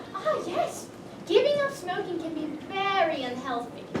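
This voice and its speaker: A squeaky, put-on character voice from a woman, extremely high in pitch, at a moderate pace over loud background noise. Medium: audio drama. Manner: flustered, evasive.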